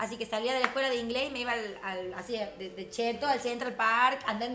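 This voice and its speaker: In a Tucumán accent, a woman with a high pitch and an animated tone talks at a fairly quick pace, with audible room echo and noticeable background noise. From Tucumán, Argentina. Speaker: entrepreneur. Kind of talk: casual chat. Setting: live stream.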